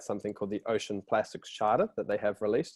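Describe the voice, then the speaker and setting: A man with a New Zealand accent speaks at a fairly quick pace against a quiet background, in a dry, close sound with no echo. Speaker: company representative presenting a product. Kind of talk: webinar presentation. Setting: online webinar. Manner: casual, with frequent fillers.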